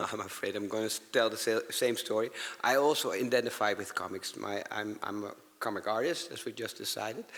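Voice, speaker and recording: A man speaks with a Dutch accent. His voice sits at a fairly low pitch. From Amsterdam, Netherlands. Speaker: comic artist. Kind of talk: panel interview.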